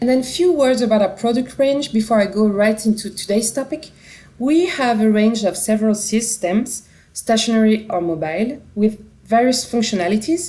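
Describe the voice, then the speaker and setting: With a French accent, a woman talks at a moderate pace in a fairly high pitch, her dark, mellow tone somewhat breathy, her pitch variation ordinary and her loudness very even. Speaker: company representative presenting a product. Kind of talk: conference product presentation. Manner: dynamic.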